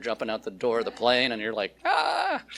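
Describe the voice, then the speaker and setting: A man with a Pacific Northwest accent at a moderate pace, his pitch making very wide swings. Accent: American, Pacific Northwest. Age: 60s. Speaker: food company founder, speaker. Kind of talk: public talk. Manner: animated, casual with many fillers.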